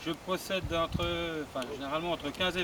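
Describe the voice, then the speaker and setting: A high-pitched man at a moderate pace, fairly even intonation, noticeable background noise. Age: 40s. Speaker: hunting association president, event organiser. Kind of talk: speech to an outdoor audience at a competition.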